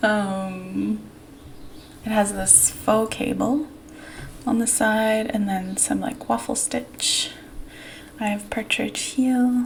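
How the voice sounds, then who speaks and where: Soft-spoken and very slow, a woman talks with long, frequent pauses against noticeable background noise. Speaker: knitting podcaster. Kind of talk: casual chat. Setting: home recording in new apartment. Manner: hesitant, with many fillers.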